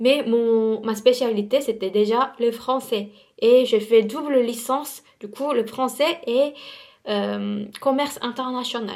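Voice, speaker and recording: A woman speaks very slowly in a high voice, her intonation fairly even. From South Korea. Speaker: beauty vlogger. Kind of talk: casual vlog storytime while doing makeup. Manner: halting, many hesitations and repetitions.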